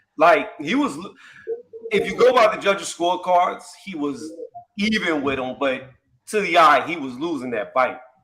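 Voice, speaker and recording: A man with an American accent, high-pitched for a man, with very wide pitch swings, a moderate pace broken by long, frequent pauses, and audible room echo. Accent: New York accent, fading. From upstate New York, Syracuse. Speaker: boxing debate participant. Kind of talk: casual debate.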